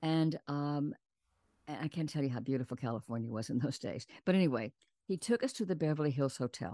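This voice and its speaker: A woman's very deep, low voice with an American accent, dark and mellow in tone, with lively intonation at a fairly quick pace, in a dry, close sound with no echo against a quiet background. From US South, San Antonio, Texas. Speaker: actress and producer. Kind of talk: interview storytelling.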